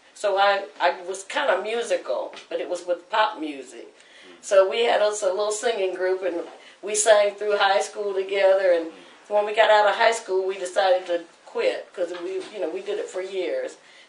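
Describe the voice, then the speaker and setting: A woman with an American accent and a plain, everyday voice speaks at a moderate pace and medium pitch, with fairly even intonation. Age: 60s. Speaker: church choir leader. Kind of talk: testimony. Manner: casual conversational, storytelling.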